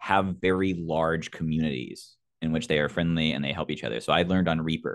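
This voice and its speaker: Over a quiet background, a man talks at a very fast pace in a very deep, low voice. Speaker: sound designer and podcaster; podcaster. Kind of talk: panel discussion. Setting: video call. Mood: friendly, enthusiastic advice. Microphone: video call.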